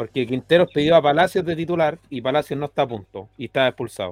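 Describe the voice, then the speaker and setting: A man with a Chilean accent talks at a fairly quick pace. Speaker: football fan panelist. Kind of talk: casual chat.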